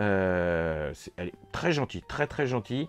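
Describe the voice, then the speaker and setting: Dry, close sound without any echo, and lively intonation. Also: man. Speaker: toy and horror film YouTuber. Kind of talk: casual vlog recap. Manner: chatty, many hesitations.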